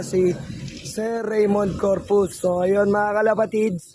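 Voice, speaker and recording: Monotone, flat intonation runs through speech set against noticeable background noise. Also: man. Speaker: pigeon racing vlogger. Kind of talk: casual live vlog commentary.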